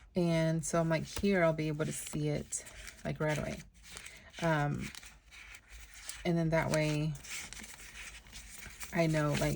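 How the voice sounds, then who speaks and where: A woman at a very deep, low pitch in monotone, flat intonation, fairly slow with long, frequent pauses, amid noticeable background noise and audible room echo. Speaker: planner youtuber. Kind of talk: planner flip-through tutorial. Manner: hesitant, many fillers.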